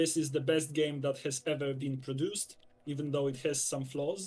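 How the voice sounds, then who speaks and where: A man with a fairly high pitch speaks at a fairly slow pace, his voice somewhat breathy. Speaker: streamer. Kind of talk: casual chat. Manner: halting, many fillers.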